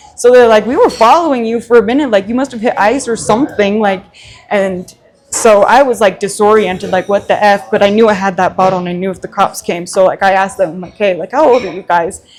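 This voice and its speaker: Over noticeable background noise, a woman talks at a very fast pace. Her pitch is medium, with ordinary pitch variation. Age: 30s. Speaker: recovering alcoholic sharing her story. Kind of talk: interview testimony. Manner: casual, filler-heavy.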